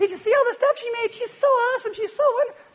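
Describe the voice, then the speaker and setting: A female-sounding put-on character voice, squeaky and extremely high in pitch. The pace is very fast. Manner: gushing, wistful.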